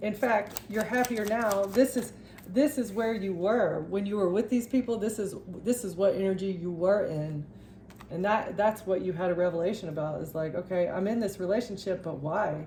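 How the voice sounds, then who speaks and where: The woman's voice is dark and mellow, somewhat breathy. Her pitch varies in an ordinary way. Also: medium pitch for a woman. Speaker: tarot reader. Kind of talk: tarot reading monologue. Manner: stuttering, halting; fast.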